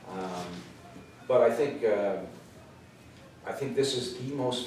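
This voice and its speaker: A man with a Canadian accent speaks at a medium pitch, his voice swinging very widely up and down. Noticeable background noise and audible room echo fill the recording. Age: 60s. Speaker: real estate agent. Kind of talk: workshop presentation. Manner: hesitant, many fillers.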